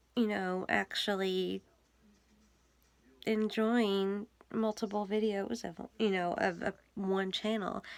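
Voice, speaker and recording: A quiet woman speaks at a very slow pace, medium in pitch and monotone, flat in intonation, with long, frequent pauses. The recording is very clean, with a silent background. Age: 30s. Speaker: vlogger. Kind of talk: casual chat. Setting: home basement.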